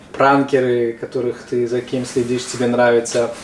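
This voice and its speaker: A man with a medium pitch talks at a moderate pace. There is noticeable background noise. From Tajikistan. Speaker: interviewer. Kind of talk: casual interview.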